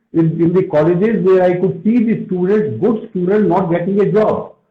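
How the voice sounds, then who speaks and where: The voice is a man's. It shows ordinary pitch variation. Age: 60s. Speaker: retired army officer and soft skills trainer. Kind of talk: interview on a live stream. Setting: Instagram live video stream.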